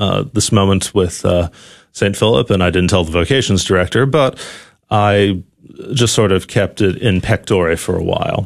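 A man with an American accent and an unremarkable speaking voice, fairly low in pitch with ordinary pitch variation, at a moderate pace against a quiet background. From New Haven, Connecticut. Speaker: seminarian. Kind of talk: radio interview.

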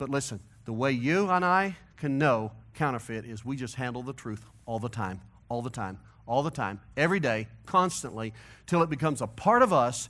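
At a fairly quick pace, a man speaks on a very clean recording with a silent background. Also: medium pitch for a man. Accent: Missouri. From US Midwest, St. Louis, Missouri. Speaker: pastor. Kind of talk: sermon. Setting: church.

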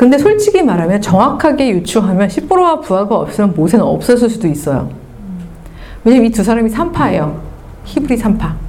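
Over noticeable background noise, a woman talks at a fairly quick pace with an animated tone, a fairly high pitch and very wide pitch swings. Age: 50s. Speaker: lecturer. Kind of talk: lecture. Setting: stage with audience.

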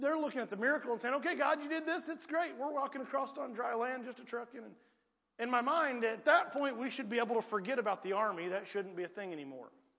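This man talks in a raised, projected voice at a very fast pace, with a rural Southern US accent and extremely high pitch. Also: lively intonation. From US South, rural Piedmont. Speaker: preacher. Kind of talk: sermon. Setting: church.

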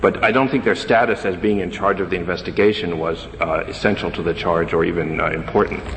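Through noticeable background noise, a man with a very deep, low pitch talks at a fairly quick pace with hardly any pauses and ordinary pitch variation. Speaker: government attorney. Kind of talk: appellate oral argument. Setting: courtroom. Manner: formal.

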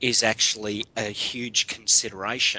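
Pitch moves in an ordinary way as a man talks with an Australian accent. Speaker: guest co-host. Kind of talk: casual chat. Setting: remote call, early morning.

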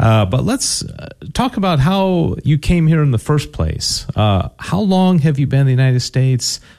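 In a dark, mellow tone, a man speaks at a moderate pace with very even loudness and very wide pitch swings. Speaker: radio host. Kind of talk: radio interview. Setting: studio.

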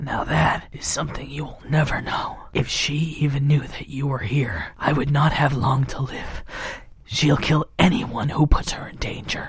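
At a moderate pace, a man whispers, his loudness swinging widely. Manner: grave, melodramatic.

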